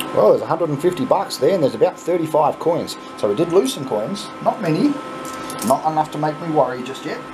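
A man with a fairly high pitch speaks over noticeable background noise. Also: moderate pace. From Australia. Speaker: YouTuber playing coin pusher game. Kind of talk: casual gameplay commentary. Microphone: phone near.

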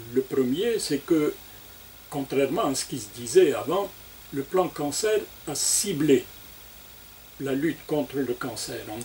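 A man's very slow speech with lively intonation, over light background noise. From Algeria. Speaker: oncology professor and national cancer plan coordinator; guest. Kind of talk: radio interview. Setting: studio. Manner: formal. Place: studio.

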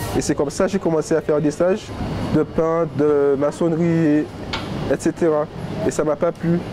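A man's fairly high voice with fairly even intonation, a moderate pace and long, frequent pauses, over noticeable background noise. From Saint-Martin (Caribbean). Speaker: apprentice butcher. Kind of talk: documentary interview. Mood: relaxed, positive. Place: shop. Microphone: lapel.

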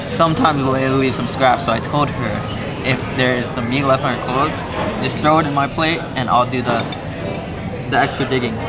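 Through loud background noise, a man talks at a fairly quick pace. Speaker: food vlogger. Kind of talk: casual vlog chat. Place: bar. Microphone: phone near.

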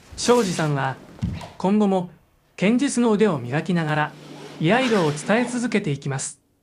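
With music in the background, the speaker goes at a moderate pace with long, frequent pauses. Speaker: TV news narrator. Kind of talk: TV news narration.

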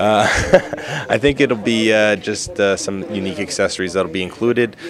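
A man talks at a moderate pace with ordinary pitch variation. The sound is dry with no echo, and background noise is noticeable. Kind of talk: interview answer. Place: hall. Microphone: handheld.

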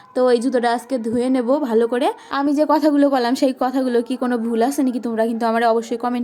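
A woman's high-pitched voice with fairly even intonation over music in the background. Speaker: village vlogger. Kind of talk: vlog monologue.

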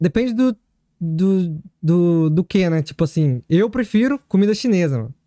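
Against a quiet background, a man with a high pitch and a dark, mellow tone speaks at a moderate pace with lively intonation, the sound dry with no echo. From São Paulo state, Brazil. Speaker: Brazilian-Japanese factory worker in Japan. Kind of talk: casual chat. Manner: halting. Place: studio. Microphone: studio mic.

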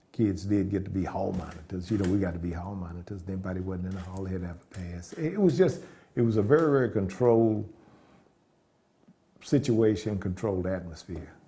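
A man speaks at a fairly quick pace with a very deep, low pitch and ordinary pitch variation. His tone is dark and mellow, and somewhat breathy. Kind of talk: interview answer. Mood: proud, warm nostalgia. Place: home room.

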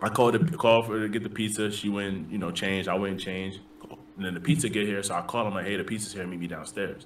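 Speaking very fast, a man with a New York accent uses a fairly low-pitched voice. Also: ordinary pitch variation. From US Northeast (the Bronx, New York). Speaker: army drill sergeant. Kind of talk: casual chat. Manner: animated.

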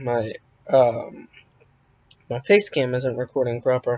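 A man speaks quietly at a very slow pace. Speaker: YouTuber. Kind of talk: vlog storytime. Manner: quiet, subdued.

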